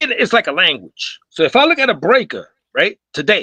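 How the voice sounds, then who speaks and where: At a fairly slow pace, a man talks in a dry, close sound with no echo. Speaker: breakdancer on a discussion panel. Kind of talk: live panel discussion.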